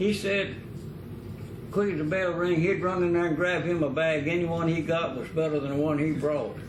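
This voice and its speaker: A man at a moderate pace, high in pitch, with fairly even intonation and noticeable background noise. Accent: American. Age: 80s+. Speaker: former dairy farmer. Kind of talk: oral history interview answer.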